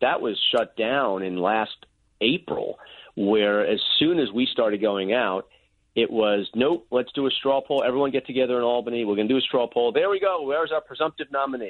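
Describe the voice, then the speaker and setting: A plain, everyday voice with an American accent, lively intonation, very even loudness and a moderate pace. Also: man, medium pitch for a man. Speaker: politician. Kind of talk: interview.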